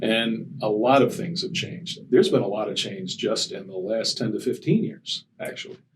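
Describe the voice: A man at a moderate pace with ordinary pitch variation, in audible room echo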